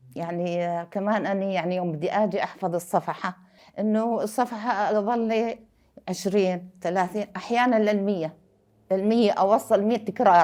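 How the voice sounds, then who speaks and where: A woman speaks at a fairly slow pace with fairly even intonation. Her tone is dark and mellow, at a medium pitch. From Syria. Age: 60s. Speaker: Quran memorizer, refugee. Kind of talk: personal testimony.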